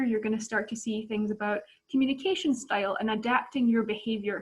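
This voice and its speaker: With a Scottish accent, a woman speaks at a moderate pace. Her voice is fairly high and somewhat breathy. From Scotland. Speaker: volunteer trainer. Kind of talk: training presentation.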